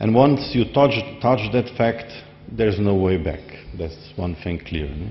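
At a fairly slow pace, a man talks in a fairly low voice. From Slovenia. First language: Slovenian. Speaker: society member; speaker. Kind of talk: speech. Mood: warm, smiling, reflective. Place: hall. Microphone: podium.

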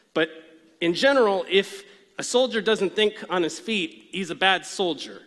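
Over a quiet background, a man speaks at a moderate pace in a bright, sharp tone. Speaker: conference presenter. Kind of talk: lecture. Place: stage.

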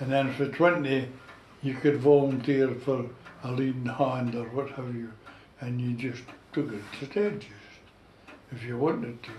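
With fairly even intonation and long, frequent pauses, a man talks at a moderate pace amid audible room echo and light background noise. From North East Scotland, Gourdon fishing village; North East Scotland. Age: 90s. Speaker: war veteran and retired fishing skipper. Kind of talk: oral history interview. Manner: halting, repeats words. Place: home room. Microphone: camera far.

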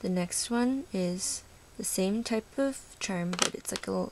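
The speaker is quiet and talks at a fairly slow pace. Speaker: polymer clay charm maker. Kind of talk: casual craft show-and-tell to camera.

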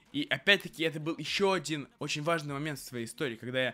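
A man's fairly high voice at a very fast pace over faint music in the background. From Russia. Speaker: vlogger. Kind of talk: casual monologue. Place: home room. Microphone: studio mic.

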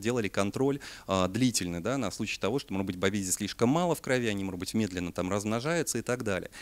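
Lively intonation runs through the man's speech. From Siberia, Russia. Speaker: parasitology researcher and veterinary lecturer. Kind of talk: lecture. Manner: hesitant, many filler sounds. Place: hall.

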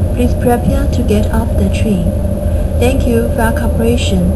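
Loud background noise fills the clip. A woman talks through it at a moderate pace. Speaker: recorded train announcer. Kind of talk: public announcement. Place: train.

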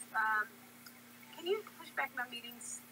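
Noticeable background noise sits behind the recording. A woman speaks at a fairly slow pace. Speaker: voice actor for a story video. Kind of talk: acted dialogue, character voices. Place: home room. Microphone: webcam.

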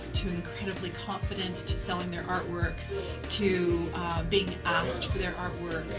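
A woman talks at a moderate pace over loud music in the background. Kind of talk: interview answer. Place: classroom. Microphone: phone near.

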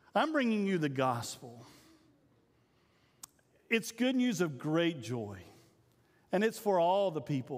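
A man speaks slowly with long, frequent pauses. His fairly high voice swings widely in pitch.

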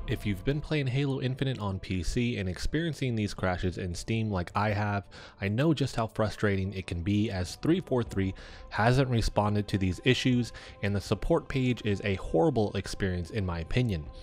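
Over music in the background, a man talks at a moderate pace with lively intonation and a fairly low pitch. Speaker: gaming YouTuber. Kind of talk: tech tutorial narration.

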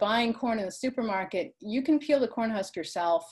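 A woman speaks at a moderate pace with lively intonation. The background is quiet. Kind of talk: lecture. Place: home room. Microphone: video call.

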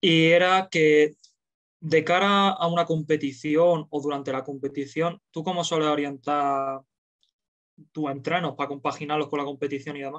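This man has a plain, everyday voice with a fairly high pitch and fairly even intonation. He speaks at a moderate pace against a quiet background. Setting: video call.

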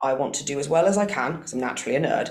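A woman talks at a very fast pace with audible room echo. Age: 30s. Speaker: university sports manager. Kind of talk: public talk interview. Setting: live event room with audience. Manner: hesitant, many fillers.

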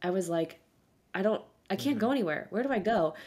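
The speaker has an American accent. Pitch variation is ordinary. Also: woman. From South Florida. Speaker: podcast co-host. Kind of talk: casual chat. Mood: nostalgic, animated. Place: home room.

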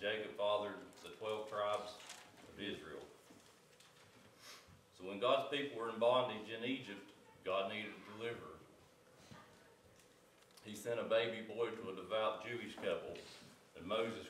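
A man speaks at a moderate pace in a fairly low pitch, with long, frequent pauses, audible room echo and light background noise. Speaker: Sunday school teacher. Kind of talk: sermon. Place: church.

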